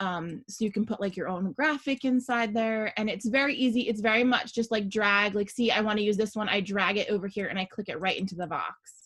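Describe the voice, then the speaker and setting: A woman talks with an unremarkable speaking voice at a fairly high pitch. She barely pauses, and her pitch varies in an ordinary way. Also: fairly quick pace, quiet background. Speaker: small business owner teaching design software; small business owner demonstrating design. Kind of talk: screen-share tutorial. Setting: video call with screen share. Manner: casual, many fillers. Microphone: video call.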